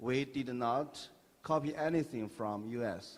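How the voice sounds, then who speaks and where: The speaker is a man with a Chinese accent. His medium pitch has ordinary variation. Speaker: tech company founder. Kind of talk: panel discussion. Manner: halting.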